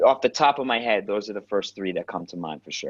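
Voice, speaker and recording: In an American accent, a man with a plain, everyday voice speaks at a fairly low pitch, recorded dry and close with no echo. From New York, Queens. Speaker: actor and acting coach. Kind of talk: interview storytelling. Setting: podcast interview. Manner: casual, with frequent fillers and restarts.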